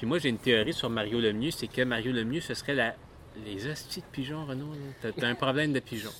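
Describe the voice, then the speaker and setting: With a Quebec accent, a man speaks at a fairly quick pace with ordinary pitch variation. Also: medium pitch for a man. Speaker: podcast co-host. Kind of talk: casual chat.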